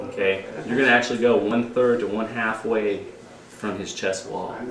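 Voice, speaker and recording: A man talks at a moderate pace in a space with audible room echo, noticeable background noise also present. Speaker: CPR instructor. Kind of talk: informal instruction class.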